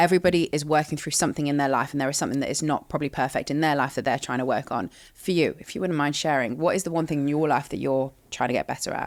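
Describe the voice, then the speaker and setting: Speech rushes by at a very fast pace with hardly any pauses, on a very clean recording with a silent background. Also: woman, very deep, low pitch for a woman, ordinary pitch variation. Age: 20s. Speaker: podcast host. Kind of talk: podcast interview. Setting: studio.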